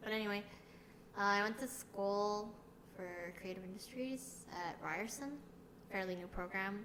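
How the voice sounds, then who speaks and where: A woman with a Canadian accent talks at a moderate pace in a medium pitch, her intonation fairly even. Noticeable background noise and audible room echo fill the recording. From Canada, Toronto area (came from South Korea at age four). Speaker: podcast co-host. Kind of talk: casual chat.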